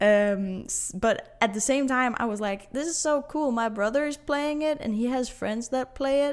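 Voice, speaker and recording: Her fairly high-pitched voice moves with ordinary pitch variation as the woman speaks. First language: not English. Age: 20s. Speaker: podcast host. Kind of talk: casual monologue podcast. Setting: empty living room. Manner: halting, many fillers and restarts.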